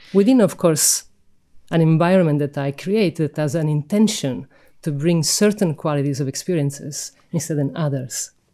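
A woman speaks at a very deep, low pitch with a dark, mellow tone and ordinary pitch variation. Her pace is moderate, and the recording is very clean with a silent background. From Sicily, Italy. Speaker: sound healer and musician. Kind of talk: interview.

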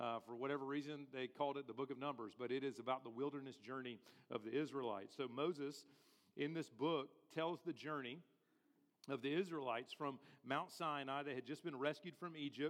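Fairly quick in pace, a man talks with fairly even intonation and a fairly high pitch. His is a normal speaking voice. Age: 40s. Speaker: pastor. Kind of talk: sermon.

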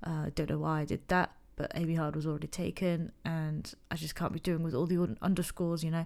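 Quiet, mumbled, very fast speech from a woman with an English accent, fairly low in pitch and flat, monotone in intonation. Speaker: illustrator and podcast host. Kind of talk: casual solo chat. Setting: home recording, late at night. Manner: mumbling.

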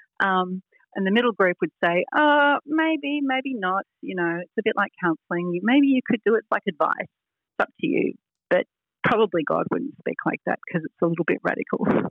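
Speaking at a moderate pace, a woman with an Australian accent uses a fairly high pitch and very wide pitch swings. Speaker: author and speaker on hearing God. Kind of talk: interview chat. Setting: video call.

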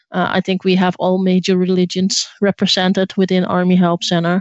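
Speaking at a medium pitch, a woman keeps a moderate pace. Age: 30s. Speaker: fan community leader. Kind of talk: interview. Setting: video call. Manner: halting.

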